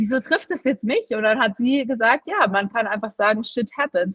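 A woman speaks at a fairly quick pace with a fairly high pitch. Her intonation is fairly even, and the sound is dry and close with no echo. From Munich, Bavaria. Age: 20s. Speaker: influencer and personal trainer, cancer survivor. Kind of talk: interview testimony. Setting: remote call.

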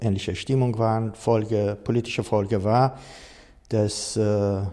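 In a Persian accent, a man talks at a fairly slow pace with fairly even intonation. His voice is fairly low, with a dark, mellow tone. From Iran. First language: Persian (speaking German). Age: 60s. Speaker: coach and trainer on racism. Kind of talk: interview. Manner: hesitant with fillers.

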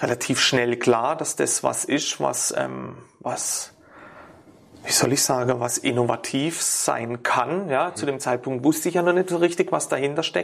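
Fairly slow speech with ordinary pitch variation. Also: man. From Ortenau, Baden-Württemberg, Germany. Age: 40s. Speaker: sports therapist. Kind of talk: interview. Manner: halting, many fillers.

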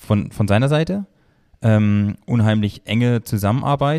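In a very clean recording with a silent background and a dry, close sound with no echo, a man speaks at medium pitch with a dark, mellow tone and ordinary pitch variation. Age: 30s. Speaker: master baker. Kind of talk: casual interview. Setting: studio, in person.

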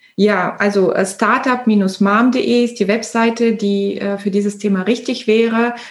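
Against noticeable background noise, a woman speaks very slowly in a fairly high pitch, with monotone, flat intonation, very even loudness and hardly any pauses. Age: 40s. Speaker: entrepreneur. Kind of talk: interview.

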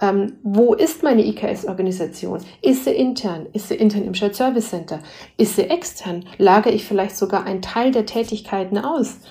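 A woman in a Bavarian accent, medium-pitched, with ordinary pitch variation and a moderate pace. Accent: Bavarian tinge. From Bavaria, Germany. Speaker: senior management consultant. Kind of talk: interview. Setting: remote recording.

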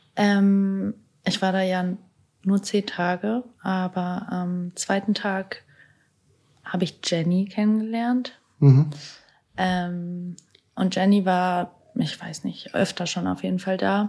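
A woman's dark, mellow, somewhat breathy voice at a very slow pace, with fairly even intonation and long, frequent pauses. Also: medium pitch for a woman. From Germany, Hannover. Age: 20s. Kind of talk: casual interview.

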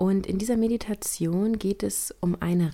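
A woman with a dark, mellow tone speaks at a fairly slow pace, her pitch varying in an ordinary way. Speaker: podcast host. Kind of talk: podcast intro and outro, casual address.

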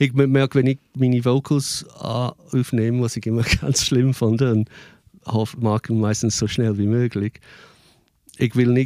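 A man's dark, mellow, monotone voice at a fairly slow pace, in a dry, close sound with no echo and a very clean recording with a silent background. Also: medium pitch for a man. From England. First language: English (speaking German). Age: 50s. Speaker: musician and performer. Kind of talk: casual interview.

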